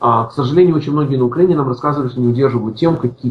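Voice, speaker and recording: A man's somewhat breathy voice at medium pitch, with fairly even intonation. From Ukraine, Odesa. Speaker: IT department head. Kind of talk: interview. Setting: remote call.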